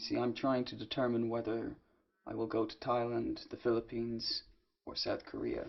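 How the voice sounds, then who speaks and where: A man with a slight Irish accent talks at a moderate pace. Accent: slight Irish, often taken for English. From Ireland. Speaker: English teacher. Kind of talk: conversation practice. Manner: loud; expressive.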